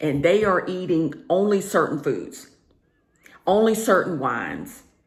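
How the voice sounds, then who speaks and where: A woman with a Southern US accent, fairly low-pitched, with lively intonation, a fairly slow pace and audible room echo. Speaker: career and lifestyle vlogger. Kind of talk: casual vlog monologue. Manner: conversational, with filler words.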